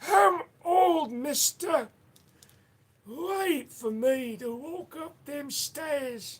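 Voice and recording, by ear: The speaker uses a put-on character voice with a high pitch. Delivery comes at a very slow pace.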